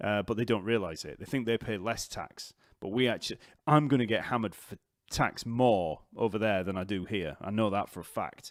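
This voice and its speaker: A man with a Yorkshire accent speaks at a fairly quick pace in a fairly low voice, with ordinary pitch variation. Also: very clean recording, silent background. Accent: Yorkshire, unchanged. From northern England, Leeds/Wakefield. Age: 40s. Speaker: bass teacher. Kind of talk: live stream Q&A chat. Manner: casual, hesitant with fillers.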